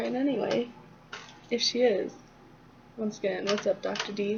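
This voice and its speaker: Over noticeable background noise, a woman mumbles. Her pitch is fairly high. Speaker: student teaching a peer. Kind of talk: casual tutorial. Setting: dorm lobby. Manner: mumbling.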